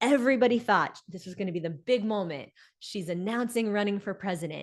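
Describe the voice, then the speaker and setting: A woman speaks in a plain, everyday voice at medium pitch and a moderate pace, with lively intonation. The background is quiet. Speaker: business coach and speaker. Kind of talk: live online coaching talk.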